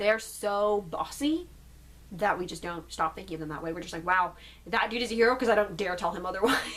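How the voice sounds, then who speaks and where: A woman with a medium pitch talks at a very fast pace over noticeable background noise. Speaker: YouTuber. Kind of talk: casual Q and A vlog.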